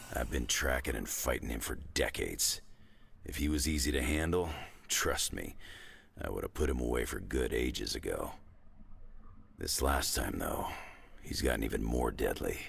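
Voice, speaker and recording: Over clear background noise, a man uses a put-on, raspy character voice at a moderate pace, with long, frequent pauses. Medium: video game. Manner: gruff, laconic.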